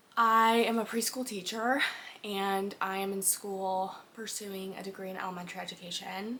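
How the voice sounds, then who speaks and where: This woman moves at a moderate pace. Her voice sits at a medium pitch. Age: 20s. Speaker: podcast host. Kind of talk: casual monologue. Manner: animated.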